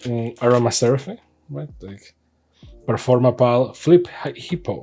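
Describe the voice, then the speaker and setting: Relaxed in tone, a man talks at medium pitch with lively intonation. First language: not English. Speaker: trading card unboxing youtuber. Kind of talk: casual unboxing commentary. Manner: relaxed, hesitant with fillers.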